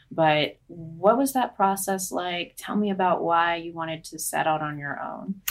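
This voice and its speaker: A woman speaks in a plain, everyday voice at a fairly low pitch and a fairly slow pace. There are hardly any pauses, big swings in loudness, and ordinary pitch variation. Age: 20s. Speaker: political reporter. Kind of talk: interview.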